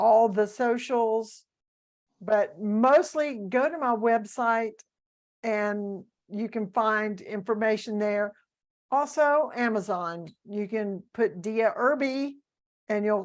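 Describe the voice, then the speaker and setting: A woman with a Southern US accent speaks very slowly at a fairly high pitch, with ordinary pitch variation over a quiet background. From US South. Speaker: author and speaker. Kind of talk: interview.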